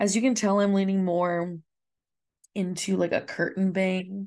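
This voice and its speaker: With a dark, mellow tone, a woman speaks at medium pitch, at a fairly slow pace and with fairly even intonation. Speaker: podcast host, astrologer and life coach. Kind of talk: solo podcast episode explaining nervous system. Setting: video recording at home desk. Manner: casual, rambling, disfluent.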